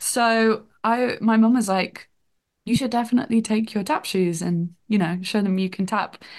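Against a quiet background, a woman with a slight northern English accent speaks at a moderate pace, her fairly high pitch held in fairly even intonation. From northern England. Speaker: TV development researcher.

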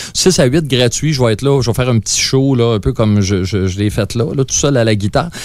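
At a fairly quick pace with hardly any pauses, a man at a medium pitch speaks with ordinary pitch variation and very even loudness. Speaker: musician. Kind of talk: interview.

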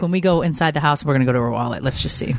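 A woman talks at a very fast pace with a low pitch and ordinary pitch variation. Vocal fry runs through her voice.

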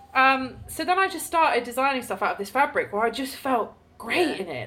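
Speaking at a fairly quick pace, a woman's voice swings very widely in pitch over noticeable background noise. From southern Ireland. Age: 30s. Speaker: clothing business founder. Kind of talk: casual chat.

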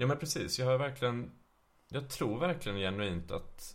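Lively intonation marks this man's speech. Audible room echo surrounds him. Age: 30s. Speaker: trained musician, podcast guest. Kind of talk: casual chat.

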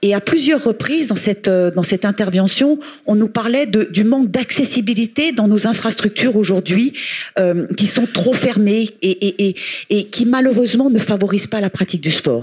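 Over noticeable background noise, a woman speaks at a fairly high pitch with ordinary pitch variation and very even loudness. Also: moderate pace. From Haute-Savoie, France. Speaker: sports association president, former tennis player. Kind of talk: panel discussion. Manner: halting, repeats words.

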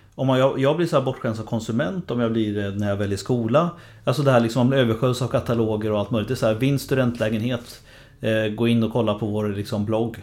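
Very fast in pace, a man talks with ordinary pitch variation. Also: medium pitch for a man. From Sweden, Linköping. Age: 40s. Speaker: author and lecturer on generations. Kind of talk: interview.

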